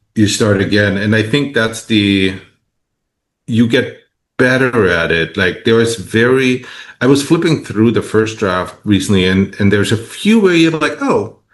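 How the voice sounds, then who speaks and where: This man speaks at a fairly slow pace, at a medium pitch with ordinary variation. His loudness stays very even. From East Germany. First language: German. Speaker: novelist. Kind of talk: interview. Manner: halting.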